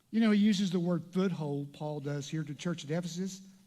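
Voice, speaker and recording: A man's dark, mellow, high-pitched voice at a very fast pace, with ordinary pitch variation and audible room echo. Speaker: pastor. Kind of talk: sermon.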